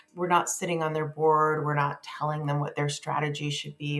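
Over noticeable background noise, a woman with a very deep, low pitch talks at a fairly quick pace in a monotone, flat intonation. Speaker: venture investor and company CEO. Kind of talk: interview.

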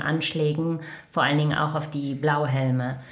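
Over noticeable background noise and audible room echo, a woman talks in a very deep, low voice. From Germany, Lower Rhine (Krefeld). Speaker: United Nations staff member. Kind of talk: interview conversation. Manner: hesitant, many fillers.

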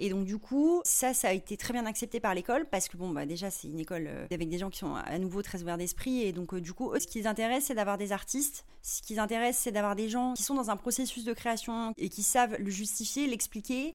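Using an unremarkable speaking voice, a woman talks at a fairly quick pace and fairly high pitch with lively intonation and hardly any pauses. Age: 30s. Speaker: singer-songwriter and visual artist. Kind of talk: interview. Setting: in person at her home studio.

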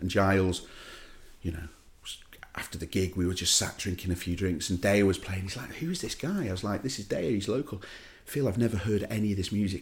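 A somewhat breathy man's voice, very deep and low, at a very fast pace. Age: 40s. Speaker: DJ. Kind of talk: casual chat.

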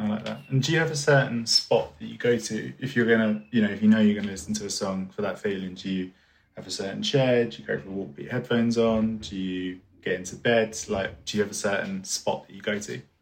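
A man speaks at a very fast pace in a fairly low voice. His loudness swings widely. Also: ordinary pitch variation. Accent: southeast English. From Orpington, south-east London. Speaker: podcast host. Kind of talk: interview.

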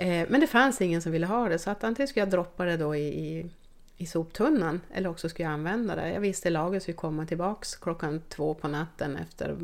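Heard in a very clean recording against a silent background, a woman with a fairly low pitch uses an ordinary speaking voice with ordinary pitch variation. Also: fairly quick pace. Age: 50s. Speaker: team doctor. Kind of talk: interview.

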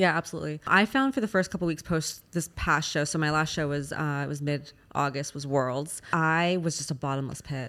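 On a very clean recording with a silent background, a woman with a Californian accent and a very deep, low pitch speaks at a fairly quick pace with fairly even intonation and hardly any pauses. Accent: Californian American. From Los Angeles, US. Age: 30s. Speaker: fitness competitor and coach. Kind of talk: casual interview.

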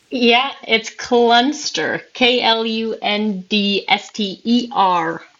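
With an American accent, a woman talks at a very slow pace with hardly any pauses, her fairly high voice showing ordinary pitch variation. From Minnesota. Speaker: news reporter. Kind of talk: casual chat.

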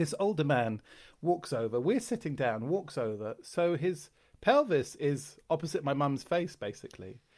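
On a very clean recording with a silent background, a man with a London accent speaks at a fairly high pitch with very wide pitch swings. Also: moderate pace. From London, England. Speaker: comedian. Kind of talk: casual chat.

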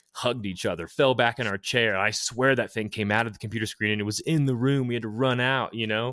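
In a very clean recording with a silent background and a dry, close sound with no echo, a man with an unremarkable speaking voice talks fairly quickly at a fairly low pitch. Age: 30s. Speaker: filmmaker and musician, podcaster. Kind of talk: casual interview chat.

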